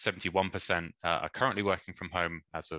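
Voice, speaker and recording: A man with a British accent speaks at a very deep, low pitch in a bright, sharp tone, recorded very cleanly with a silent background and a dry, close sound with no echo. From England. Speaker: energy consultant. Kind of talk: conference presentation. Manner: hesitant, many fillers.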